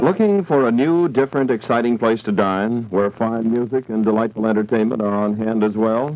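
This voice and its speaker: A man with an American accent speaks at a fairly quick pace, with hardly any pauses. His loudness stays very even throughout. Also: ordinary pitch variation. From United States, California. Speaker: radio announcer. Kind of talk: radio commercial read. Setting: vintage 1960s radio broadcast recorded from old tape. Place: studio. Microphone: old recording.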